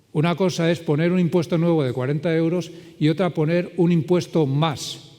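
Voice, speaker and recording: A man talks in a fairly high pitch with a dark, mellow tone. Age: 60s. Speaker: circular economy consultant. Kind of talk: conference talk with Q&A.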